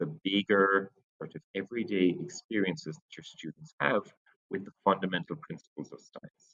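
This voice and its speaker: Speaking with an Irish accent at a fairly slow pace, a man shows ordinary pitch variation in a dry, close sound with no echo. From Ireland (Cork area). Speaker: science teacher. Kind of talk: teacher introduction to parents. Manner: hesitant, many fillers.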